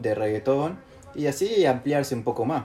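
Noticeable noise fills the background. Against it, a man talks at a moderate speed. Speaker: podcast co-host. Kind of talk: casual chat.

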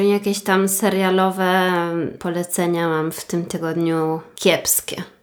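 Against noticeable background noise, a woman talks at a very slow pace and medium pitch in a monotone, flat intonation. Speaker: true crime podcast co-host. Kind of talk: casual chat and crime storytelling.

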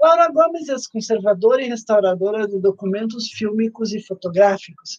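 The sound is dry and close, with no echo. A woman with a fairly high pitch speaks at a fairly slow pace. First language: Portuguese (speaking Spanish). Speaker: podcast host. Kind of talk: interview hosting. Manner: mixes Portuguese and Spanish.

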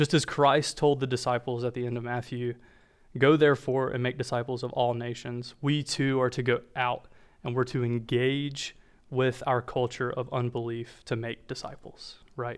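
With an American accent, a man talks in a monotone with flat intonation. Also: medium pitch for a man, moderate pace, very clean recording, silent background. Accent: Southern US, mostly masked. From North Carolina. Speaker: church discipleship director. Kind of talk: sermon. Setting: church with congregation. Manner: halting, many fillers.

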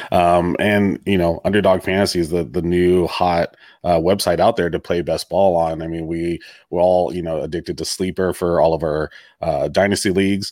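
In a very clean recording with a silent background, a man with a very deep, low pitch speaks in a monotone, flat intonation. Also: moderate pace. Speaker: podcast host.

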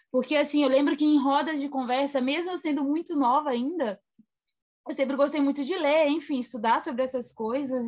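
Her voice high, a woman speaks at a moderate pace with ordinary pitch variation. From Brazil, Minas Gerais. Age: 20s. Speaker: journalist. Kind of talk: interview.

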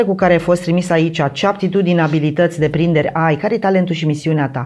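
A woman with a fairly low pitch. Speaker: mental training instructor and meditation creator. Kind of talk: casual chat. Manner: halting.

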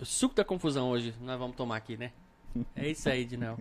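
The speech runs at a very fast pace, with very wide pitch swings. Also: man. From Brasília, Brazil. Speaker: podcast host. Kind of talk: casual chat. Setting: studio, live stream.

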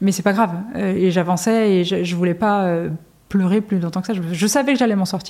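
A woman's dark, mellow voice at medium pitch, moderate pace and fairly even intonation. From Brittany, France. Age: 40s. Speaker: music manager. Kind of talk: interview.

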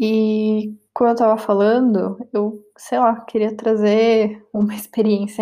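In a Brazilian accent, a woman speaks with a dark, mellow tone. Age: 20s. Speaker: podcast host. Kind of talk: casual monologue.

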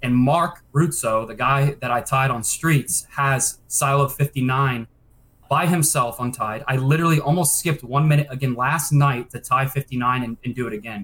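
Here is a man with an ordinary speaking voice, fairly high in pitch. He keeps a moderate pace and fairly even intonation. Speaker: speedrunner. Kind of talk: casual chat.

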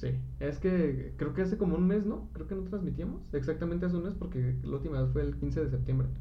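A man talks amid noticeable background noise, and audible room echo colors the recording. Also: fairly quick pace. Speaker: podcast co-host. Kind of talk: casual chat. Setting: live stream.

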